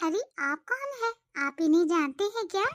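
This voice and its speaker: A woman's squeaky, cartoonish character voice at an extremely high pitch, with very wide pitch swings and a moderate pace. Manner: sweet, coaxing.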